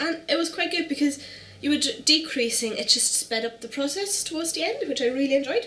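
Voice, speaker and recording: A woman talks at a very fast pace with a German accent. Noticeable background noise runs behind her. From Germany. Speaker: knitting podcaster. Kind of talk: casual show-and-tell vlog. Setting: at home on the couch.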